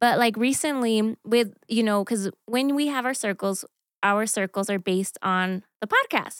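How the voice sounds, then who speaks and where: A woman's unremarkable speaking voice with an American accent, fairly high-pitched, ordinary pitch variation, fairly slow pace, a very clean recording with a silent background, and dry, close sound with no echo. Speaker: church team leader. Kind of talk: casual chat.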